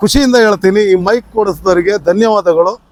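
The recording is dry and close, without echo. It's a man talking. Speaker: travel vlogger. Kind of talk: vlog. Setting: outdoors, on a motorbike. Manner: loud. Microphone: wireless clip-on mic to phone.

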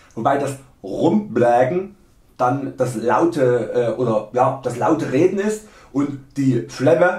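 A man at a very slow pace with ordinary pitch variation, audible room echo and a quiet background. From Saxony, Germany. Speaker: video creator. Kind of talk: humorous dialect lesson to camera. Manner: tongue-in-cheek, mock-serious. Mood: playful, joking.

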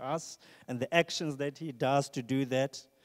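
The man's fairly slow speech, with ordinary pitch variation, comes over a quiet background. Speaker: preacher. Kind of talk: sermon. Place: church. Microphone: handheld.

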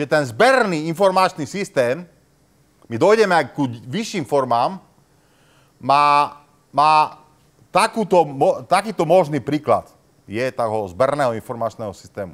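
A man speaks at a fairly high pitch with very wide pitch swings, against a quiet background. His delivery is fairly slow, broken by long, frequent pauses. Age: old. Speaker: university professor. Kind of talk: lecture. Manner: hesitant, many fillers. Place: classroom.

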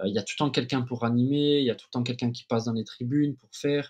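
The speaker talks at a fairly quick pace in a Corsican accent. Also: man, quiet background. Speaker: former professional footballer; podcast guest. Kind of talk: interview answer. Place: home room. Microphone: webcam.

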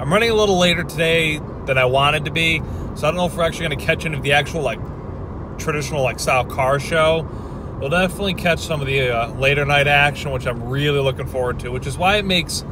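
Over noticeable background noise, a man talks at a very fast pace with ordinary pitch variation and a dry sound with no echo. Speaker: vlogger driving. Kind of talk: casual vlog chat. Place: car. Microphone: phone near.

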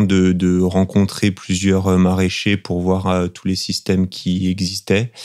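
On a very clean recording with a silent background, a man speaks very slowly in a very deep, low voice with a dark, mellow tone. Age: 30s. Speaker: market gardener. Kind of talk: interview testimony. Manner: hesitant, frequent fillers and repetitions.

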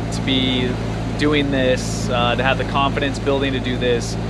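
A man speaks at a fairly slow pace. Loud noise fills the background. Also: dry sound with no echo. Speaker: sailor vlogger. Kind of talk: casual vlog chat. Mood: excited, content. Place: boat. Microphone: phone near.

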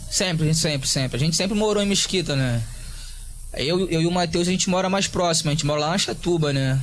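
A high-pitched man at a fairly quick pace, with ordinary pitch variation, very even loudness, and light background noise. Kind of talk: interview answer. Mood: relaxed, friendly. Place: home room. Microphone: handheld.

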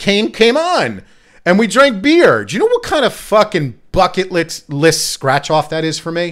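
Against a quiet background, the voice moves at a fairly slow pace with very wide pitch swings. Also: man, high pitch for a man. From New Jersey. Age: 40s. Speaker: podcast host. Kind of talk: casual chat. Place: studio. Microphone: studio mic.

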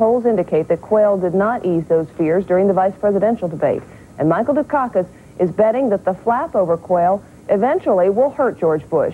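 A woman at medium pitch, fairly quick and with few pauses, her intonation lively

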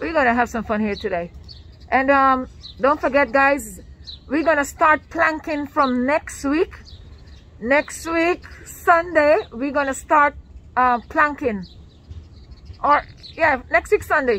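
At a very slow pace with long, frequent pauses, a woman speaks in a high pitch with lively intonation, the sound dry with no echo. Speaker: fitness vlogger. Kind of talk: casual vlog chat. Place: garden. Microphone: phone near.

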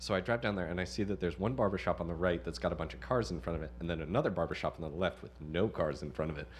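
Speaking very fast with an American accent, a man uses a very deep, low pitch full of vocal fry and very wide pitch swings. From South Jersey suburbs, US. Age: 20s. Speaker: comedian. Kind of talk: casual chat.

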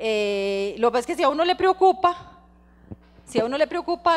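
A woman's high voice with very wide swings in pitch. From Costa Rica. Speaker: lawyer, guest lecturer. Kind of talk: lecture. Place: hall. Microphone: handheld.

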